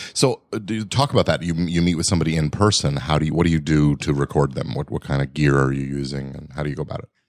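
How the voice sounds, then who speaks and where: Very deep and low, a man's voice races at a very fast pace with hardly any pauses and ordinary pitch variation. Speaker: podcast host. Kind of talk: casual interview. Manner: conversational, friendly.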